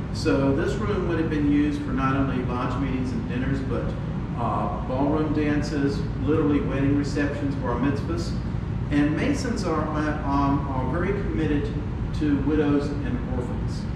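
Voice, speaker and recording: A man at a moderate pace, with audible room echo and loud background noise. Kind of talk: interview answer. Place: hall.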